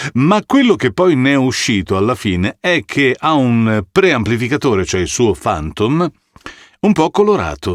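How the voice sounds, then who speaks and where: A man speaks at a medium pitch with very wide pitch swings. His pace is fairly slow. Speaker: voice actor. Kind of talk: casual talk to camera. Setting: studio.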